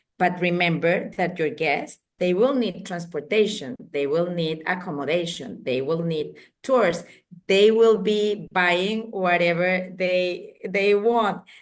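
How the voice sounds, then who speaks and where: Speaking in a Spanish accent, a woman moves at a very slow pace. Her pitch is medium, with ordinary pitch variation. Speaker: wedding industry association president. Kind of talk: interview. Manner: halting.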